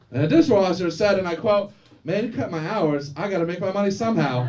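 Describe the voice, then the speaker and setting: A loud man with an American accent at a moderate pace, amid audible room echo and noticeable background noise. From Florida, Daytona Beach. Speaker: stand-up comedian. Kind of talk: stand-up. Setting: stage with audience.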